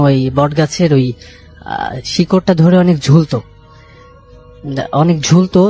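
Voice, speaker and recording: Music in the background behind a man's voice with ordinary pitch variation. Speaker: caller sharing a personal ghost story. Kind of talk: radio call-in storytelling. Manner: hesitant, many filler sounds.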